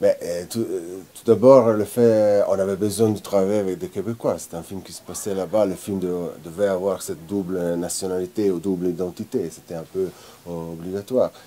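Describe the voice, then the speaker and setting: This voice has a dark, mellow tone and fairly even intonation, with an Italian accent. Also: man, fairly low pitch for a man, moderate pace, big swings in loudness. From Italian-speaking Switzerland, Lugano. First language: Italian (speaking French). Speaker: film director. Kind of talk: interview.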